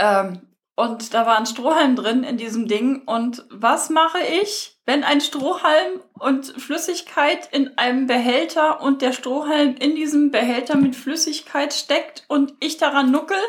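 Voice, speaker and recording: Very slowly and with hardly any pauses, a woman speaks in a high pitch with ordinary pitch variation. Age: 40s. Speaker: podcast host. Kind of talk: casual chat. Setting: at home. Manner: animated.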